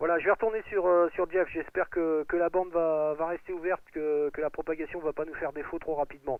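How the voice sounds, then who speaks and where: Speaking at a fairly quick pace with hardly any pauses, a man with a Picard accent uses a high pitch and monotone, flat intonation. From Picardy, northern France. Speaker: amateur radio operator. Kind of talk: radio contact chat. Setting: shortwave radio contact. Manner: halting, many hesitations.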